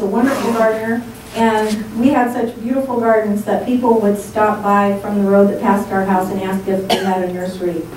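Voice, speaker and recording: A woman's fairly even intonation, with audible room echo and noticeable background noise. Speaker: guest. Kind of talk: presentation talk. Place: meeting room.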